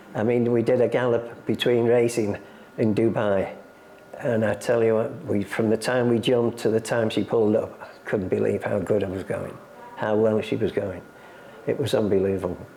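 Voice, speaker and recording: Noticeable background noise surrounds a man speaking at medium pitch. His pace is moderate and his intonation fairly even. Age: 80s+. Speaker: retired jockey and horse racing museum guide. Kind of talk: interview.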